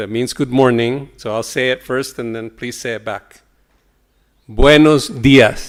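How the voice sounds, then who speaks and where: A Spanish accent at a fairly slow pace, with fairly even intonation and big swings in loudness. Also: man, medium pitch for a man. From El Salvador. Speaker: professor. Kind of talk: keynote lecture. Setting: conference stage with audience.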